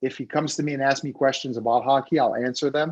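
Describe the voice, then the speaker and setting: A man speaks at a medium pitch with a Quebec accent. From Quebec, Montreal (French-speaking, Haitian parents). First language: French. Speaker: former hockey player and TV hockey analyst. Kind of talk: Q&A talk at a club meeting.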